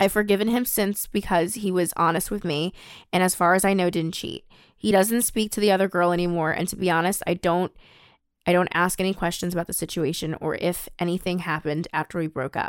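A woman's fairly low, a normal speaking voice, fairly quick in pace with fairly even intonation. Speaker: podcast host. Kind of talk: casual chat.

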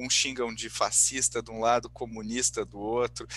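A man talks at a moderate pace. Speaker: podcast host. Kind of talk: casual chat.

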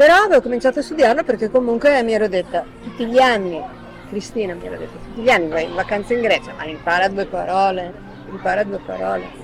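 Amid crowd noise and audible room echo, a woman talks at a very fast pace. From northern Italy, Milan. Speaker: retired journalist. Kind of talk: casual interview.

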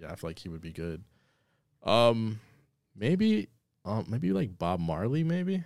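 Very wide pitch swings and big swings in loudness mark this fairly slow delivery with long, frequent pauses. The recording is very clean, with a silent background. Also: man, fairly low pitch for a man. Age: 30s. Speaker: podcast host. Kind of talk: casual chat. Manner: animated.

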